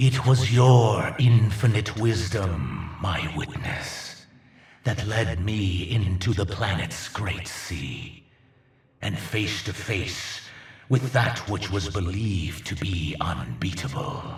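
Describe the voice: Putting on a character voice, a man speaks slowly at a low pitch with lively intonation.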